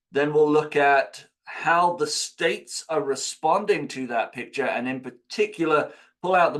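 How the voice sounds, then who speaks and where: At a fairly slow tempo, the pitch varies as it usually would. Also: man. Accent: slight English. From England. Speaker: retirement education director. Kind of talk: webinar presentation. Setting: video call.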